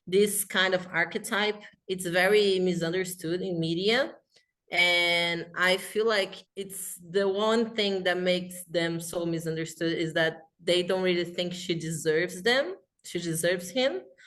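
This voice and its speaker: A woman speaks fairly slowly in a Portuguese accent. Her pitch is medium and her intonation fairly even. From Brazil. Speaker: fanfiction writer. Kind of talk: casual chat.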